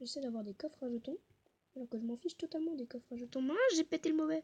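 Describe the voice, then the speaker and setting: Soft-spoken yet lively in intonation, a woman talks at a high pitch in a dark, mellow tone. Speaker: gaming youtuber. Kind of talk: gameplay commentary.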